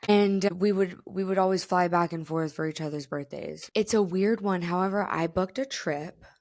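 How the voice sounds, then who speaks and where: With an American accent and an animated tone, a woman speaks at a fairly low pitch with ordinary pitch variation in a very clean recording with a silent background. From South Florida. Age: 30s. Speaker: podcast host. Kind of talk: casual chat.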